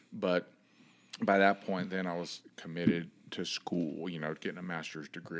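Using monotone, flat intonation, a man with an American accent talks at a moderate pace in a very deep, low pitch. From Miami, Florida. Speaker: former football linebacker and coach. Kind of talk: casual interview chat.

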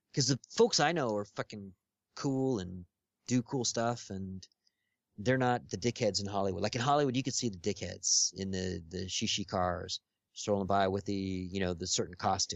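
A man with a Californian accent at a moderate pace, with ordinary pitch variation. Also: fairly low pitch for a man. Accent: General American (Californian). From Los Angeles. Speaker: podcast guest, social media personality. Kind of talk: casual chat. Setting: Skype call.

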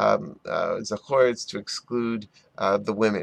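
Medium in pitch with ordinary pitch variation, a man speaks. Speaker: rabbi and Talmud teacher. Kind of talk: Talmud lesson. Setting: office near a window.

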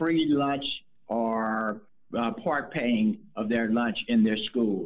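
This man talks very slowly. His voice sits at a medium pitch. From Mississippi and Indianapolis, US. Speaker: retired sports coach, nonprofit co-founder. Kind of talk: interview.

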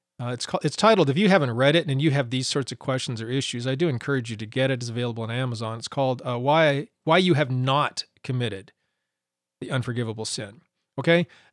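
In a very clean recording with a silent background, a man with an American accent talks at a very fast pace, his medium pitch showing ordinary variation. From Montana. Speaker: podcast bible teacher. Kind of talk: podcast teaching monologue. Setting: home studio recording. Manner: halting, many fillers.

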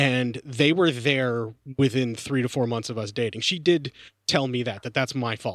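Pitch moves up and down in an ordinary way here. It is a plain, everyday voice. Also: man, medium pitch for a man, moderate pace. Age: 40s. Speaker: film podcaster. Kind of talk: casual chat.

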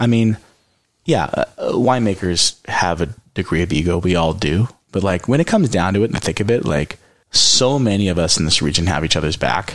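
A man's fairly low voice with a Californian accent, at a fairly quick pace. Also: lively intonation. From California Central Coast. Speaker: winemaker. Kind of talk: casual chat.

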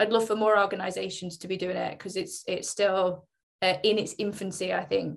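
Her pitch medium and her pace moderate, a woman speaks with monotone, flat intonation. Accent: Mancunian. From Greater Manchester (Oldham), England. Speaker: fitness company brand marketing lead. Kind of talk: panel discussion.

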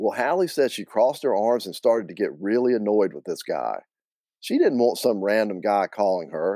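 Someone reads aloud in a natural voice. Little can be heard behind it.

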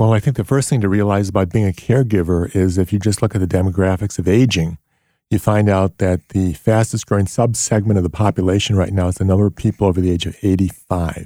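A man's fairly low voice with a dark, mellow tone at a very fast pace, dry and close with no echo. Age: 60s. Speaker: physician. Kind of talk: interview.

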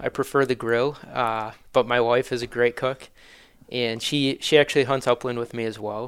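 Here a man with a Wisconsin accent speaks at a moderate pace and medium pitch, his intonation monotone and flat. The recording is very clean, with a silent background. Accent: Upper Midwest (Wisconsin). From Wisconsin, Manitowoc. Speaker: hunting gear business founder. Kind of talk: casual interview.

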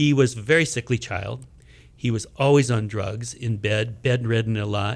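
Here is an ordinary speaking voice at a moderate pace. Its pitch varies in an ordinary way. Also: man, medium pitch for a man. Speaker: ballet choreographer. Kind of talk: interview, talking about a ballet.

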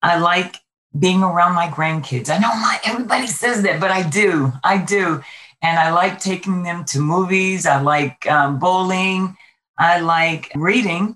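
A normal speaking voice in an American accent with ordinary pitch variation, on a very clean recording with a silent background. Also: woman, fairly low pitch for a woman, fairly slow pace. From Brooklyn, New York. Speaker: state legislator and Air Force veteran. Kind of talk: interview.

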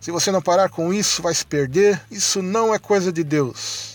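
Moderate pace and ordinary pitch variation in a man's a plain, everyday voice. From Santa Catarina, Brazil. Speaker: listener sending a voice message. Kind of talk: recorded testimony.

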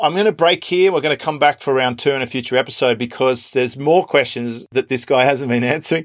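A man with an Australian accent, medium pitch, very fast pace, hardly any pauses, very even loudness and ordinary pitch variation. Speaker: podcast host. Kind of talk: interview.

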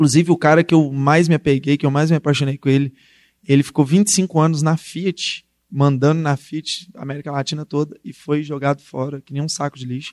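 A man with a plain, everyday voice speaks at a fairly quick pace with fairly even intonation and big swings in loudness. The sound is dry and close, with no echo. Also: fairly high pitch for a man. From Brazil, Belo Horizonte (Minas Gerais). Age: 20s. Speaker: rapper and community project founder. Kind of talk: talk to university class.

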